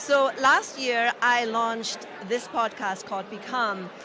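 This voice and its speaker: Against noticeable background noise and audible room echo, a woman speaks in a high pitch. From Germany. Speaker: podcaster. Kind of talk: interview.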